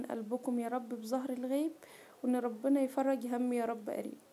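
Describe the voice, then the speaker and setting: A woman with an Egyptian accent speaks at a moderate pace in a high pitch, her dark, mellow tone carrying fairly even intonation. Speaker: cooking vlogger. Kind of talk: personal testimony vlog. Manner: halting.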